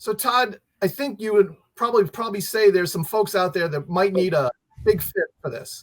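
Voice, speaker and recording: A man's high-pitched voice in an American accent, with ordinary pitch variation and a dry, close sound with no echo. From New Jersey. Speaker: emergency management expert. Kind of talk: presentation. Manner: fast.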